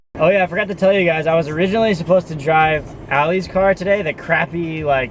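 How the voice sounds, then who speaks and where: A man shouts loudly at a very fast pace and high pitch. His intonation stays fairly even over noticeable background noise. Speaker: vlogger, delivery driver. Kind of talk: casual video diary. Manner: loud, yelling.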